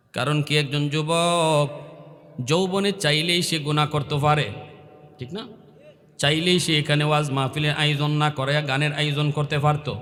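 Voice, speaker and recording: A man with a fairly high pitch and monotone, flat intonation. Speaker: Islamic preacher. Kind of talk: sermon. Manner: emotional, impassioned.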